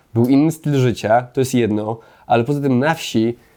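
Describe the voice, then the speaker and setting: On a very clean recording with a silent background, a man with a medium pitch and a dark, mellow tone speaks at a fairly slow pace. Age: 30s. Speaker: political commentator. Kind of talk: opinion monologue. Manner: animated.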